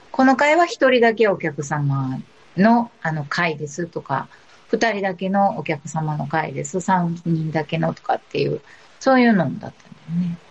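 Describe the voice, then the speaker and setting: A woman speaks quietly in a somewhat breathy, fairly low voice with lively intonation. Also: moderate pace. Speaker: guest. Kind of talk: casual chat. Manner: quiet, speaks little.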